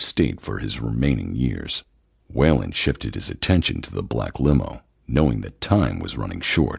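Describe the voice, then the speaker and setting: A man speaks in a very deep, low pitch with vocal fry. His tone is dramatic and his pace moderate. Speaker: audiobook narrator. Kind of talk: dramatic audiobook narration of a thriller, reading aloud. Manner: dramatic, with voiced dialogue for characters.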